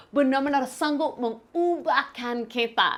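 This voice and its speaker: A woman speaks in a high voice with lively intonation. Her pace is fairly slow. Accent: English. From Canada, rural village. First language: English (speaking Indonesian). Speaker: pastor, missionary. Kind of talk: sermon. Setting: online from home. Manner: hesitant, with fillers and restarts.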